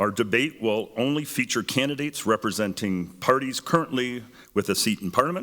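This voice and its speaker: A man with a Canadian accent speaks at a fairly quick pace, his voice booming and his tone bright and sharp, in a very clean recording with a silent background. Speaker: debate moderator. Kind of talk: public event moderation.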